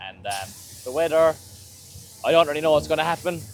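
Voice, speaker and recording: A man talks with a Cork accent. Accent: Irish, County Cork. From Ireland. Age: young. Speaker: drift racing driver. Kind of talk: casual talk to camera.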